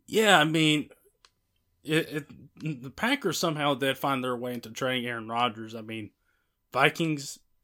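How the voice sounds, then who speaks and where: Recorded very cleanly against a silent background, a man speaks fairly slowly in a bright, sharp tone. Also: long, frequent pauses, big swings in loudness. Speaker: podcast host. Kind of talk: casual sports podcast discussion.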